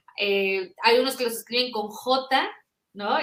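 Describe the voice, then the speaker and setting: A woman is speaking. Her tone comes through bright and sharp. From northern Mexico, Monterrey. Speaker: children's book author. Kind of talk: interview.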